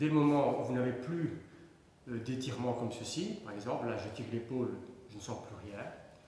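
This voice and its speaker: There is audible room echo as a man speaks. His pitch variation is ordinary. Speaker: fitness instructor. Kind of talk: tutorial. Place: empty room. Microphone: camera far.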